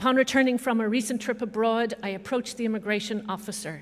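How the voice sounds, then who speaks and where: Speaking with an Irish accent, a woman keeps a moderate speed. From Ireland (Dublin). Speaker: professor. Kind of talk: ceremonial speech.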